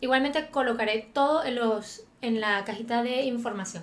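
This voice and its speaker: A woman's high voice at a moderate pace, with fairly even intonation and a Venezuelan accent. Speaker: YouTuber. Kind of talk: film review monologue. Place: home room. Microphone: studio mic.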